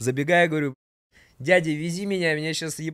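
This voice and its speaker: A man speaks in an animated tone at a fairly quick pace, his voice dry with no echo against a quiet background. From Rubtsovsk, Altai Krai, Russia; Altai Krai, Russia. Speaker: podcast guest, storyteller. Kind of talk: casual storytelling chat. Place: studio. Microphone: studio mic.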